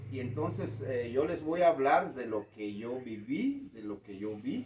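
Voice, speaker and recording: Over noticeable background noise, a man with a medium pitch speaks at a fairly slow pace, with ordinary pitch variation and big swings in loudness. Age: 60s. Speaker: community elder. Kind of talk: interview. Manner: hesitant, many fillers.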